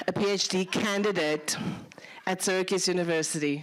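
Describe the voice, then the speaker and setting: In a South African accent, a woman speaks at a fairly slow pace with ordinary pitch variation. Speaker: lecturer. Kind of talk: lecture.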